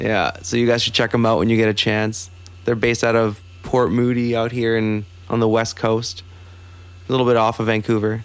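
At a fairly quick pace, a man with a normal speaking voice and medium pitch talks with very even loudness and fairly even intonation. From Calgary, Canada. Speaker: podcast co-host. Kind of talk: casual chat.

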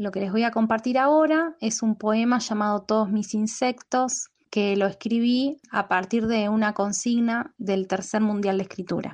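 Speaking fairly slowly, a woman with a fairly high, somewhat breathy voice shows ordinary pitch variation. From Buenos Aires, Argentina. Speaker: poet. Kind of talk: poetry reading; casual self-introduction.

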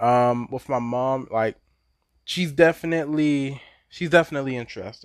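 The voice is a plain, everyday voice with an American accent. It moves at a moderate pace with ordinary pitch variation. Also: man, medium pitch for a man. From Baltimore, Maryland, US. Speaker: podcaster. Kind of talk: casual monologue.

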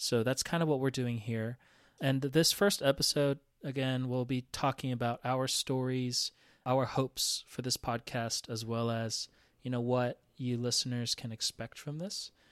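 An ordinary speaking voice from a man at medium pitch with fairly even intonation, dry and close with no echo, on a very clean recording with a silent background. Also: moderate pace. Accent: American. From Atlanta, US South. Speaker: podcast co-host, brand strategist. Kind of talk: casual chat.

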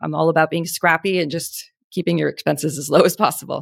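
A woman speaks at a very fast pace. The sound is dry and close with no echo, in a very clean recording with a silent background. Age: 40s. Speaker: beauty brand founder and CEO. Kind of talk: podcast interview. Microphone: good podcasting microphone.

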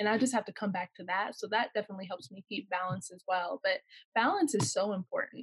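A woman with an American accent talks at a very fast pace in a medium pitch with ordinary pitch variation, big swings in loudness, and a somewhat breathy voice. The sound is dry and close, with no echo. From Southern California. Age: 20s. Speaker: professional basketball player. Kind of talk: casual interview.

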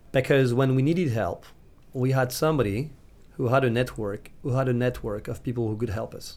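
Speaking in a French accent, a man keeps a fairly quick pace. His pitch is medium, with ordinary pitch variation. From France, Nantes. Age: 30s. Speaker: startup founder and investor. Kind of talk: interview. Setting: studio. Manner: halting, with frequent repetitions.

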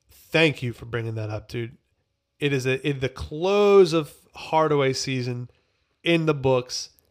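A man speaks in a plain, everyday voice at a medium pitch with ordinary pitch variation. His pace is fairly slow, and his loudness swings widely. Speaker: podcast host. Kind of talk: casual banter, music review podcast. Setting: studio.

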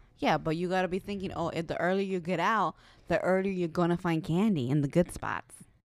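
A woman with a plain, everyday voice talks fairly quickly at a fairly low pitch with ordinary pitch variation. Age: 30s. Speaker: podcast co-host. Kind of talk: casual chat.

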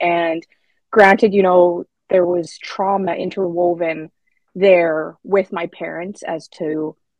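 In a plain, everyday voice, a woman with a Canadian accent speaks at medium pitch with fairly even intonation. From Saskatchewan, Canada. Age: 30s. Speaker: policy analyst. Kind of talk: interview.

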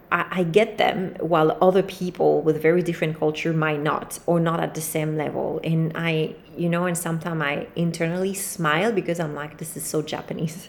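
A woman's fairly low-pitched voice at a moderate pace, with fairly even intonation, hardly any pauses and noticeable background noise. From France, Paris. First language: French. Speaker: podcast host. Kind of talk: solo monologue, casual talk to listeners. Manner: relaxed, freestyle, rambling with fillers.

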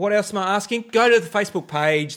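A man speaks at a fairly quick pace with lively intonation. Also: very clean recording, silent background. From Victoria, Australia. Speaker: podcast co-host. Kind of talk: casual chat.

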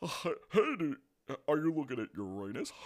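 Putting on a character voice, a man talks at a fairly high pitch. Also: moderate pace.

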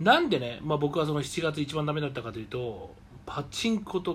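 Very wide pitch swings run through a man's fairly high-pitched voice. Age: 40s. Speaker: radio show host. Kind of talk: solo casual talk.

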